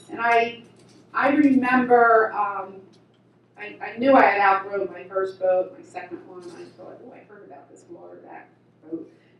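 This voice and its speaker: A woman's voice shows big swings in loudness, with audible room echo and noticeable background noise. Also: medium pitch for a woman, ordinary pitch variation, moderate pace. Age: 70s. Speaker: vintage raceboat racer, award recipient. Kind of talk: award acceptance speech. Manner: halting, many repeated words.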